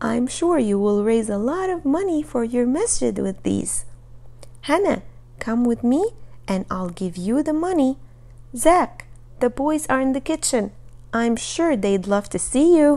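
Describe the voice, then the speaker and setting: A female-sounding put-on character voice, high in pitch, at a moderate pace. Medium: read story.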